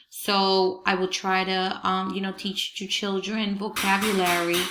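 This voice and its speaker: A woman speaks very slowly in a bright, sharp tone. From Peru. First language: Spanish. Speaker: Spanish teacher. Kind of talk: presentation to parents. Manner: hesitant, many fillers.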